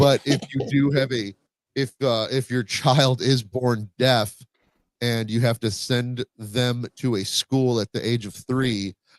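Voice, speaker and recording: At a fairly slow pace and medium pitch, a man speaks with fairly even intonation in a dry, close sound with no echo. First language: Spanish. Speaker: podcast host. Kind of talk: casual chat. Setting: home, live stream. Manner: halting.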